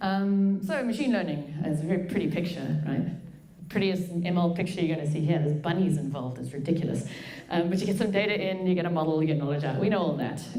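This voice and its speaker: Over noticeable background noise and audible room echo, a woman talks at a very fast pace in a fairly low pitch with ordinary pitch variation. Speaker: machine learning engineer and researcher. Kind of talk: conference talk. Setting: stage with audience. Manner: casual.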